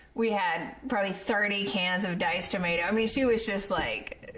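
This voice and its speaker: In an American accent, a woman speaks at a medium pitch and a fairly slow pace, with ordinary pitch variation. Noticeable background noise and audible room echo fill the recording. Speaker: author and journalist. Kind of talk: storytelling interview.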